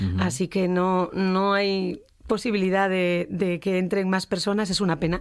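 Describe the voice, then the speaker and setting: A woman of medium pitch in a flat monotone, at a moderate pace with very even loudness, on a very clean recording with a silent background. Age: 50s. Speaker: singer. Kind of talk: radio interview. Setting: radio studio.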